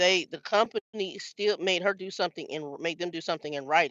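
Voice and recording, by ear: The voice has a bright, sharp tone at a fairly quick pace, with a dry, close sound and no echo.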